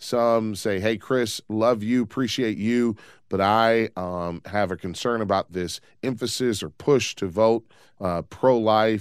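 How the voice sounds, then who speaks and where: A man with an unremarkable speaking voice, fairly low in pitch, with ordinary pitch variation and a fairly slow pace. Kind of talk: call-in radio talk show. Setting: radio studio.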